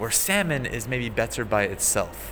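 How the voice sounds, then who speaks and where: Over noticeable background noise, a man speaks fairly slowly at a fairly low pitch. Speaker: podcast co-host teaching English and Japanese. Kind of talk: casual chat.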